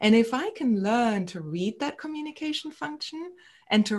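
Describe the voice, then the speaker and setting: A somewhat breathy voice against a quiet background. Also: woman. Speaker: psychotherapist. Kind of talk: casual interview.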